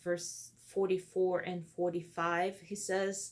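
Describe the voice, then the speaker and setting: Very slowly, a woman speaks with a Brazilian accent. Her voice is fairly low, and her intonation is monotone and flat. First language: Portuguese. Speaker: counseling student. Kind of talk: video blog for homework. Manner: hesitant with fillers.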